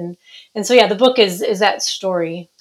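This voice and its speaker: This woman has a plain, everyday voice with an American accent. She talks at a moderate pace in a fairly high pitch. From Minnesota. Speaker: author. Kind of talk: interview.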